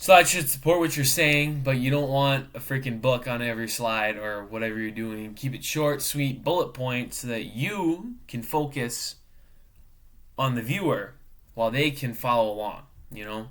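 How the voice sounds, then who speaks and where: Medium in pitch, this man has an unremarkable speaking voice. He talks at a moderate pace with ordinary pitch variation. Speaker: student and professional cook. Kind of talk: class video presentation. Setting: webcam recording. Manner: casual, filler-heavy.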